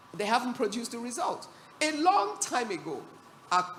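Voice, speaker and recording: A woman speaks at a moderate pace with lively intonation. Background noise is noticeable throughout. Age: 60s. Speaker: business executive and panelist. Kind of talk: panel discussion. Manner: animated.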